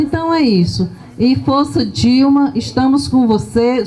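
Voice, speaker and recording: At a fairly slow pace, a woman speaks. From Piauí, Brazil. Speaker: trade union official; panelist. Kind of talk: short audience message. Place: street. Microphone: handheld.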